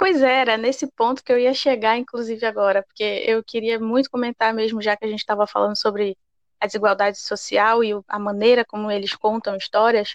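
A woman has a normal speaking voice, fairly high in pitch, with fairly even intonation. She goes at a fairly quick pace, and the sound is dry and close with no echo. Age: 20s. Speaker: podcast co-host. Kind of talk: casual chat.

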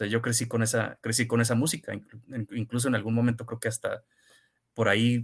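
This man's voice sits at a medium pitch. The recording is very clean, with a silent background. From Tijuana, Mexico. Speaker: novelist. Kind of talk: interview. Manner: halting, many repetitions.

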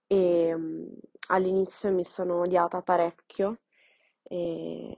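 Her intonation monotone and flat, a woman speaks slowly enough to be called fairly slow, at a fairly low pitch. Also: long, frequent pauses. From Milan, Italy. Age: 20s. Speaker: podcast guest sharing personal story. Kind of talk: personal testimony.

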